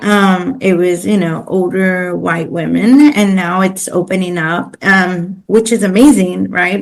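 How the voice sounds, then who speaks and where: A woman talks with a Spanish accent at a medium pitch. Her pitch varies in an ordinary way. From East Los Angeles, US. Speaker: pro bono coordinator. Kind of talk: interview conversation. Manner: many fillers and repetitions.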